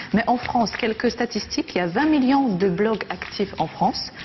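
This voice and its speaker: Amid noticeable background noise, a woman with a non-native accent speaks at a moderate pace with very wide pitch swings. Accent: foreign accent in French. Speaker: TV columnist. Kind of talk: TV chronicle segment, casual chat.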